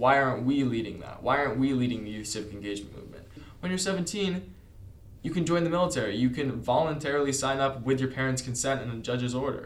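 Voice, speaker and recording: A man with an American accent talks at a very fast pace. His pitch is medium, with ordinary variation. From California, Santa Monica. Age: 18. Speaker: youth governor delegate. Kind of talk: interview.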